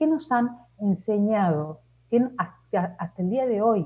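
Somewhat breathy, a woman speaks in a dark, mellow tone. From Argentina. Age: 50s. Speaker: leadership coach and consultant. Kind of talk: interview.

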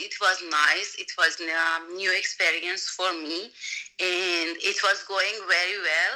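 The voice has a bright, sharp tone and a Persian accent, moving at a fairly slow pace. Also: woman. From Iran. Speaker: voiceover and dubbing artist. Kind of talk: casual interview. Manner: halting.

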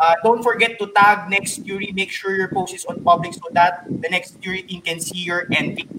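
A man's raised, projected, high-pitched voice in a Filipino accent, at a moderate pace with hardly any pauses, fairly even intonation and big swings in loudness, over noticeable background noise. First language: Tagalog. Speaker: podcast co-host. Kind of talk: casual chat.

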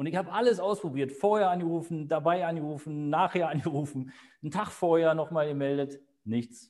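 On a very clean recording with a silent background, a man speaks fairly quickly at a fairly high pitch with ordinary pitch variation. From Berlin. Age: 50s. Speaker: real estate agent. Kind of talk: interview. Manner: hesitant, many fillers.

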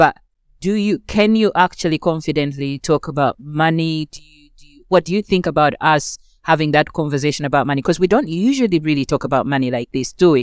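In a very clean recording with a silent background, a woman speaks fairly quickly in a very deep, low pitch, her sound dry and close with no echo, her pitch varying in an ordinary way while her loudness swings widely. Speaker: event moderator and anti-racism scholar. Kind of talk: moderated panel discussion. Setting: live event with audience. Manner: soft-spoken.

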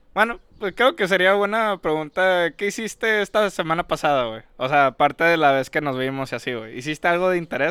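A man talks with lively intonation. His pitch is high. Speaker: podcast co-host. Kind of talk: casual chat. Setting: outdoors.

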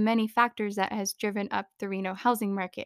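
A woman with an American accent speaks in an animated tone at a fairly high pitch and a fairly quick pace. The recording is very clean, with a silent background and a dry, close sound with no echo. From US Southwest, Phoenix, Arizona. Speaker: podcast host. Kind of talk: casual monologue. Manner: animated, frequent laughter.

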